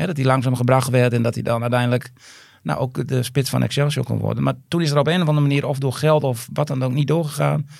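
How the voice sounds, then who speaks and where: A man talks very fast at medium pitch with ordinary pitch variation. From Groningen province, Netherlands. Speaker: footballer's father. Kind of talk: casual interview. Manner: halting, many repetitions.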